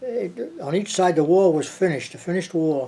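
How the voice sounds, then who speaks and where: The man's voice is high in pitch, with ordinary pitch variation. He speaks at a fairly quick pace. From Virginia, US South. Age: 90s. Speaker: oral history interviewee. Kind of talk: life story interview. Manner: halting, many fillers and repeats.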